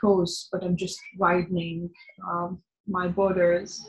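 The speaker talks at a very slow pace with an Arabic accent. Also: woman. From northern Syria (Idlib). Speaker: journalist and activist. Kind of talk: interview. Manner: halting, with many fillers.

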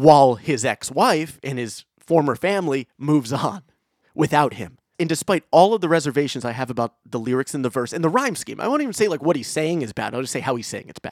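In a very clean recording with a silent background and a dry, close sound with no echo, a man speaks in an ordinary speaking voice at a fairly high pitch and fairly quick pace, with lively intonation and big swings in loudness. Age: 30s. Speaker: podcast host and musician. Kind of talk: casual chat.

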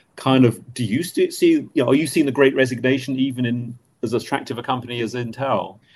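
A man at medium pitch and a fairly quick pace, with fairly even intonation. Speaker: webinar host. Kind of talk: panel discussion. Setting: video call. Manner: halting, many fillers.

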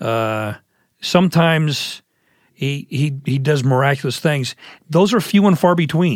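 A man speaks at a fairly slow pace in a plain, everyday voice, fairly high-pitched with lively intonation, on a very clean recording with a silent background. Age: 50s. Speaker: men's pastor and podcast host. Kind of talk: interview.

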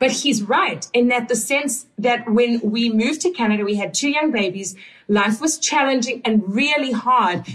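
The voice shows ordinary pitch variation and very even loudness. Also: woman, high pitch for a woman, moderate pace. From South Africa. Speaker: podcast host and coach. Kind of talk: casual interview chat with husband.

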